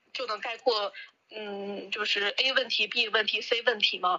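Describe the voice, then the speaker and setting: Her pitch sits fairly high for a woman. She speaks at a fairly slow pace. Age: 30s. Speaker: video maker. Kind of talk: casual chat.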